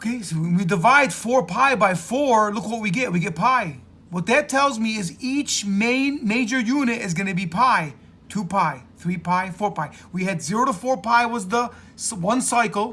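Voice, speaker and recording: Delivered at a moderate pace, the raised, projected voice carries a bright, sharp tone. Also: man, high pitch for a man. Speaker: math teacher. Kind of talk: lecture.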